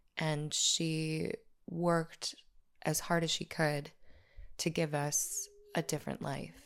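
With an American accent, the speaker goes at a very slow pace in a monotone, flat intonation, with long, frequent pauses. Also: woman, very deep, low pitch for a woman, very clean recording, silent background. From US Midwest, La Crosse, Wisconsin. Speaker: podcast host, violent crime survivor. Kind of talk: personal storytelling narration. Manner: hesitant, many fillers.

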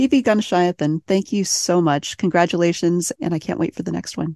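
A woman with an ordinary speaking voice and a fairly low pitch talks at a moderate pace in a dry, close sound with no echo. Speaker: podcast host. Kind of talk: interview.

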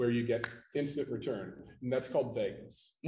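The voice is somewhat breathy, with a dark, mellow tone. It moves at a moderate pace in an American accent. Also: man. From Pittsburgh, Pennsylvania. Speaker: flooring installation certification executive. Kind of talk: casual chat. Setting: convention floor.

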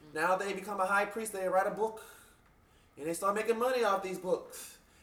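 Noticeable background noise sits behind a man speaking at a very fast pace. His pitch is high and his tone animated. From Louisiana, Bayou Sarah. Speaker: voodoo priest. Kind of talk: interview. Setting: shop.

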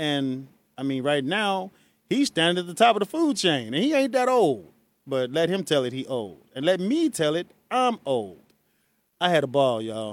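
Animated in tone, a man speaks at a fairly high pitch. His pitch swings very widely. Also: moderate pace. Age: 40s. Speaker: radio host. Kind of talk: radio call-in show. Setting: studio.

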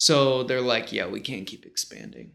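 A man at medium pitch and a fairly slow pace. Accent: American. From western New York (Rochester/Buffalo area). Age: 30s. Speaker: tattoo artist. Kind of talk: casual chat. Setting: home painting studio.

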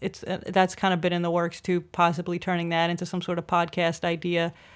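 Over a silent background in a very clean recording, a woman with a New York accent talks at a fairly quick pace. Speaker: comedian. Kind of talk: casual chat.

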